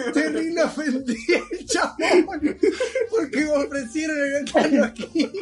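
Through noticeable background noise, a man talks at a very slow pace with hardly any pauses, in an extremely high pitch with lively intonation. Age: 20s. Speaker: podcast host. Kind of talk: casual chat.

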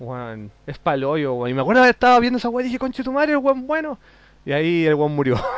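A man with a Chilean accent talks very fast in an animated tone. His high voice swings very widely in pitch. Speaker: podcast host. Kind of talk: casual chat.

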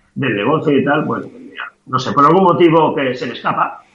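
The pace is fairly slow. Room echo is audible. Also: man. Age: 60s. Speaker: comic artist. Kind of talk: interview.

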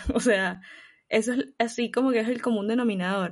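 Against a quiet background, a woman with a plain, everyday voice speaks at a fairly high pitch. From Venezuela. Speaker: podcast co-host. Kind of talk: casual chat.

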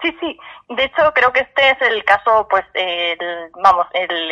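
Lively intonation marks this woman's plain, everyday voice. She speaks at a fairly slow pace. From Castilla-La Mancha, Spain. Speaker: journalist. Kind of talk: casual chat.

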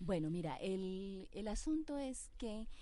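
Her voice has a dark, mellow tone and ordinary pitch variation. The woman speaks at a very slow pace. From Colombia. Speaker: refugee committee representative. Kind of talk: radio interview. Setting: radio studio.

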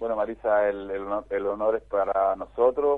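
A man is talking at a moderate pace. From Chile. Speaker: tennis foundation director. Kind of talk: radio interview. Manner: halting.

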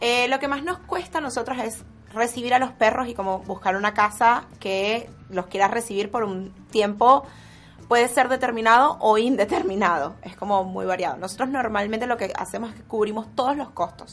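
Over a quiet background, a woman with an unremarkable speaking voice talks at a fairly high pitch with ordinary pitch variation. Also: moderate pace. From Venezuela. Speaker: dog rescuer. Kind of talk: radio interview.

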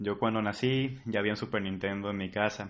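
A man with an ordinary speaking voice, fairly low pitch and a moderate pace. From Mexico, Colima. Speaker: freelance animator. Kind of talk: casual chat.

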